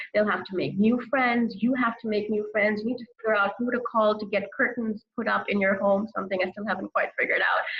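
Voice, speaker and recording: Noticeable background noise sits behind a woman's fairly high voice. She talks at a fairly quick pace with hardly any pauses. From grew up as expat child, moving countries. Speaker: author, expat life guest. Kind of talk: interview, giving advice. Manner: fast; chatty, animated.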